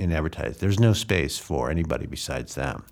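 A man speaks very fast with vocal fry and an American accent. His pitch swings very widely. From US Midwest, Chicago area (Evanston). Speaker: journalist and university lecturer. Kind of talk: interview. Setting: studio. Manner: halting, many fillers and repetitions.

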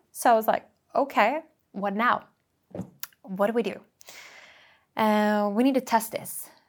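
With a Norwegian accent, a woman speaks at a fairly slow pace and fairly high pitch, her intonation fairly even and her pauses long and frequent. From Norway, Bergen. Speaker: entrepreneur. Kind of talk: interview.

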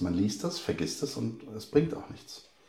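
Audible room echo and noticeable background noise surround a man whose pitch is fairly low. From Hesse, Germany (Bad Soden, Polish parents). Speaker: poet and school teacher. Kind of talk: interview.

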